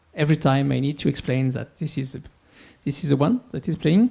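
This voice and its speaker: At a moderate pace, a man with a French accent talks in a fairly high pitch with a dark, mellow tone. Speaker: music shop owner. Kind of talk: conference talk. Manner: halting, many fillers.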